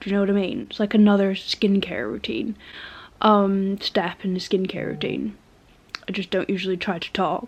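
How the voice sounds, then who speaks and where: This woman speaks at a medium pitch with a British accent. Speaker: vlogger. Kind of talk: casual vlog talk. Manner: hesitant, many fillers.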